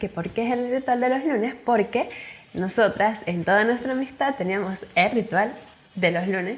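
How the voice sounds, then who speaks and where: Lively intonation at a moderate pace in a Venezuelan Andean accent, with noticeable background noise. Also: woman. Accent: Venezuelan Andean (gocho). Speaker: podcast co-host. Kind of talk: casual chat.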